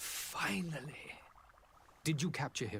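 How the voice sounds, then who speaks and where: Using a put-on character voice, a man with a medium pitch speaks at a fairly slow pace over clear background noise. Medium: video game.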